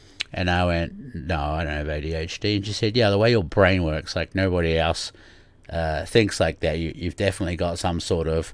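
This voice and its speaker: The man's voice sits at a very deep, low pitch, with ordinary pitch variation. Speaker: podcast host. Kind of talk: casual podcast monologue. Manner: hesitant, many fillers.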